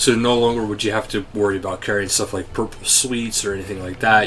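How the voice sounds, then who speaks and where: Intonation stays fairly even. Noticeable background noise runs underneath. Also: man. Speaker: gaming YouTuber. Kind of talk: game update walkthrough. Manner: casual, with fillers.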